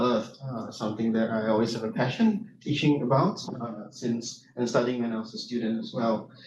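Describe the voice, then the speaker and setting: A man with a Singaporean accent talks at a moderate pace and a medium pitch. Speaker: university lecturer and soil scientist. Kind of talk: conference presentation. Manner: hesitant, many fillers.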